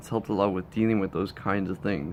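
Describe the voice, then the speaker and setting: A man talks at a fairly low pitch with vocal fry. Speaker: YouTuber and streamer. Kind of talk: casual vlog monologue. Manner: stuttering when recording.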